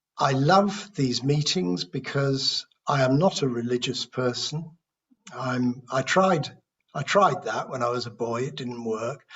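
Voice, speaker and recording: With a British accent, a man speaks fairly slowly at medium pitch, using lively intonation. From United Kingdom. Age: 60s. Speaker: recovering alcoholic sharing at a support meeting. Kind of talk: testimony. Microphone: speaking without earphones, may be hard to hear.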